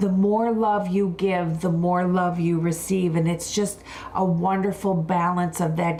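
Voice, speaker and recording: Over noticeable background noise, a woman speaks with an American accent at a fairly low pitch. Her delivery is flat and monotone at a fairly slow pace. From Buffalo, New York. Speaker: wellness and skincare expert. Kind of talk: live wellness talk.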